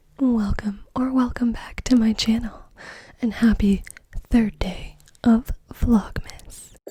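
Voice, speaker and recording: Whispering and soft-spoken, a woman goes at a very slow pace, leaving long, frequent pauses. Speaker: ASMR creator. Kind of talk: ASMR video, soft-spoken talk to camera. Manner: soft-spoken, whispered.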